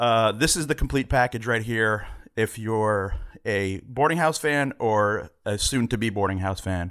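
A man has an unremarkable speaking voice, medium in pitch with ordinary pitch variation. He talks at a fairly slow pace on a very clean recording with a silent background. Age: middle-aged. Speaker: film distributor and producer. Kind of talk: casual chat.

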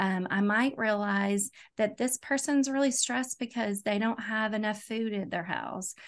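Speaking with an East Tennessee accent, a woman has a fairly high pitch. Her pace is moderate. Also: quiet background. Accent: East Tennessee Southern US. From Knoxville, Tennessee. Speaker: school social worker. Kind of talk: podcast interview.

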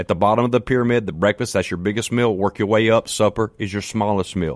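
Dry and close with no echo, on a very clean recording with a silent background, a man's fairly low voice carries ordinary pitch variation. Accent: Mississippi. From US South, Mississippi. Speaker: fitness trainer. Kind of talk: radio interview, fitness advice. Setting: studio. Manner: animated.

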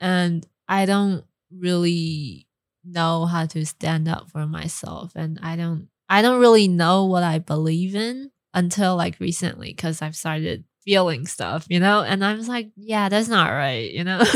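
In a very clean recording with a silent background, a woman with a Mandarin accent speaks at a fairly slow pace, in a fairly low pitch with ordinary pitch variation. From Taiwan, raised partly in California. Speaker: actress. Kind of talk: casual chat. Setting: studio. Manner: giggly, laughs often.

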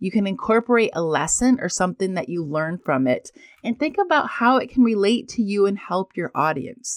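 Very wide pitch swings mark this woman's speech at a fairly quick pace. The recording is very clean with a silent background, and the sound is dry and close with no echo. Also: medium pitch for a woman. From rural farm upbringing. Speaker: podcast host, business coach. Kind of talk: solo podcast monologue, coaching talk.

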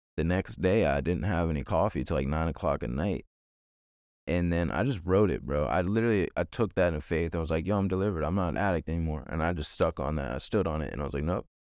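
With an American accent, the speaker talks at a very fast pace with vocal fry. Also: man, very deep, low pitch for a man, ordinary pitch variation, quiet background. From Virginia, US. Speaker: evangelist and peer recovery specialist. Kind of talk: testimony.

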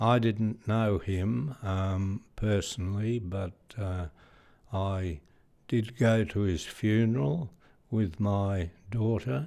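With an Australian accent, a man speaks very slowly in a fairly low pitch and a dark, mellow tone. Pitch variation is ordinary, and the recording is very clean against a silent background. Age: 80s+. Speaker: retired police chief superintendent. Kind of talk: interview, reminiscing. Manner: halting, hesitant with fillers.

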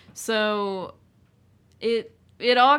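A bright, sharp voice with an American accent shows ordinary pitch variation. The recording is very clean with a silent background. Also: woman. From small town, US. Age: 20s. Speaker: podcast guest sharing coming-out story. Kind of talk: personal testimony in casual chat.

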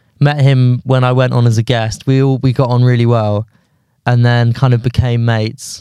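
A man's medium-pitched voice with a dark, mellow tone, a southern English accent and a moderate pace. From southern England (London and Surrey). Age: 20s. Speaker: stand-up comedian. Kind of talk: casual chat. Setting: studio.

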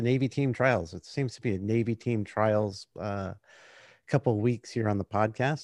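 A man's normal speaking voice, fairly slow, with ordinary pitch variation and a dry, close sound free of echo. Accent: American. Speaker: podcast host, US Navy veteran. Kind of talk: interview conversation.

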